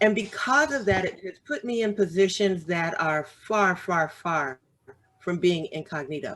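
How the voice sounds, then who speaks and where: Using an unremarkable speaking voice, a woman talks at a fairly slow pace and medium pitch with lively intonation. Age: 60s. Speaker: author and business owner. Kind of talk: casual chat.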